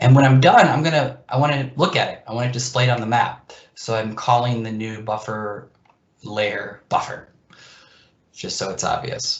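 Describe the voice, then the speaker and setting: A somewhat breathy man at medium pitch and a moderate pace, with fairly even intonation and big swings in loudness. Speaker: GIS presenter. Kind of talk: software demo presentation. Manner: casual with fillers and repeats.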